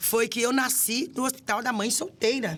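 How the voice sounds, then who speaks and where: Noticeable background noise runs through the clip. A woman speaks with a high pitch at a moderate pace. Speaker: city councillor and women's affairs official. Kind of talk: podcast interview.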